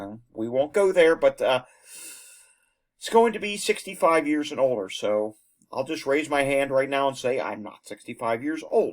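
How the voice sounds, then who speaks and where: The man has a normal speaking voice, fairly high in pitch, with lively intonation, big swings in loudness and a moderate pace. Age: 30s. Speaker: news video host. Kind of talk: news commentary. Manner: casual, conversational with fillers.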